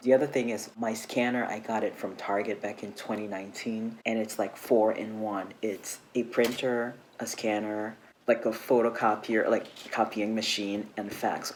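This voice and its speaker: Soft-spoken, a man talks with monotone, flat intonation. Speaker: travel vlogger. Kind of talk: tutorial. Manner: soft-spoken, speaking low; casual, chatty.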